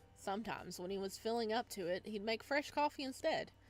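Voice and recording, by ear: Someone reads a text aloud in a natural voice.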